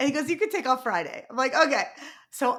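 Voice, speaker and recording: A woman with a New York accent speaks in a bright, sharp tone. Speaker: podcast host and keynote speaker. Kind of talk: casual interview chat. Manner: fast talker.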